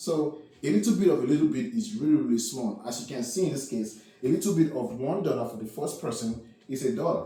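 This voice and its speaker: A man's somewhat breathy, fairly high voice with a dark, mellow tone and lively intonation, plus audible room echo. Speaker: math teacher. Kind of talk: lecture. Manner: filler-heavy, repetitive.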